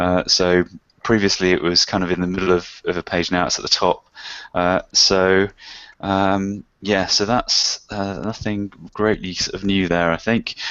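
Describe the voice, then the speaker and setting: A man speaks at a fairly slow pace in a very deep, low pitch. His intonation is monotone and flat. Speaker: web analytics expert hosting a Q&A. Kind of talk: online workshop chat. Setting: video call. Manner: hesitant, many fillers.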